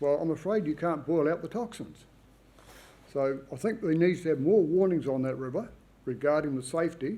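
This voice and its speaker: Speaking in a New Zealand accent, a man has a dark, mellow tone, a fairly high pitch with ordinary variation, and a moderate pace. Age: 70s. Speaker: public submitter at planning hearing. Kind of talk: hearing submission.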